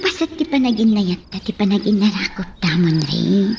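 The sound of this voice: A woman uses a put-on character voice at medium pitch, with a husky, rough edge and vocal fry. Her tone is slightly mellow, her intonation lively and her pace moderate.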